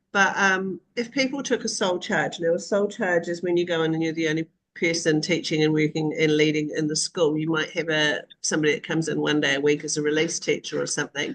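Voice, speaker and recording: Speech comes at a very fast pace with hardly any pauses. The voice has a New Zealand accent and ordinary pitch variation. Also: woman, fairly low pitch for a woman. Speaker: online community host for school leaders. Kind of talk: live video call discussion. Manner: casual, frequent fillers.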